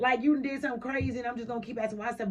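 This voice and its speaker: Against noticeable background noise, a woman talks in an animated tone at a fairly high pitch. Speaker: radio talk show host. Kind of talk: casual radio chat. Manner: fast.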